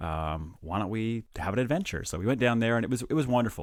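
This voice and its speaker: In a very clean recording with a silent background, a man with a slight Canadian accent speaks very fast at a medium pitch with lively intonation. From Canada, small town in Ontario. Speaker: anesthesiologist and podcast co-host. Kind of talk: casual chat. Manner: halting, with frequent repeated words.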